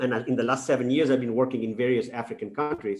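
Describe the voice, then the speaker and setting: With a Spanish accent, this man talks at a medium pitch and keeps his intonation fairly even. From Spain. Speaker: professor. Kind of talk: lecture. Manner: halting, many fillers and repeats.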